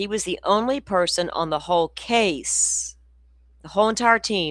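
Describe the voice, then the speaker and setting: A woman of medium pitch with lively intonation at a moderate pace, on a very clean recording with a silent background. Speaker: true crime livestream host. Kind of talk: casual chat. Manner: loud.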